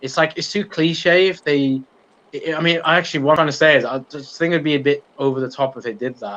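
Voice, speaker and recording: Here a man speaks with a fairly high pitch. His pace is fairly quick. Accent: British. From UK. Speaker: YouTube channel host, TV show fan commentator. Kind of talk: live-stream Q&A chat.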